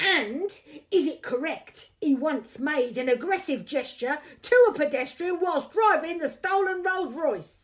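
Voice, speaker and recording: A put-on character voice sits at a high pitch. It moves at a fairly slow pace. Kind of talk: courtroom speech. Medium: audio drama. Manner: pompous, theatrical.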